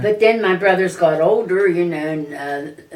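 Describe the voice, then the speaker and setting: Over noticeable background noise, a woman with an American accent speaks at a fairly slow pace with ordinary pitch variation. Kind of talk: interview answer. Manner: casual, conversational.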